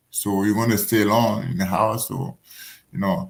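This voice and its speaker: A man with a non-native accent talks at a moderate pace in a somewhat breathy voice. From Africa. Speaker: professional boxer. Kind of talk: casual interview. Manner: halting, repetitive phrasing.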